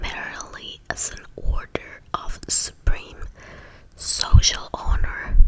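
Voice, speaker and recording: Against noticeable background noise, she whispers at a very slow pace. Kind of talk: whispered reading of history text for relaxation. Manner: whispered, soft.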